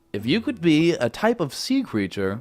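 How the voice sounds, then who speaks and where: Over music in the background, a man speaks at a very slow pace with very wide pitch swings. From Canada. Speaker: YouTuber. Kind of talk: casual Q&A chat. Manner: casual, filler-heavy.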